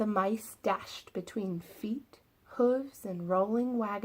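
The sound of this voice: Here is an unforced reading voice. It has ordinary pitch variation.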